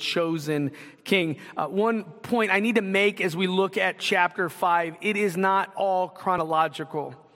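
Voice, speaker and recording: A man's high-pitched voice comes through noticeable background noise. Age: 40s. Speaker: pastor. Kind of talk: sermon. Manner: casual, conversational.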